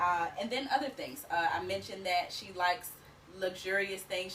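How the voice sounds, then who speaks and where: Over noticeable background noise, a woman speaks at a very fast pace in a medium pitch. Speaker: business coach for work-from-home moms. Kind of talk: tutorial. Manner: animated.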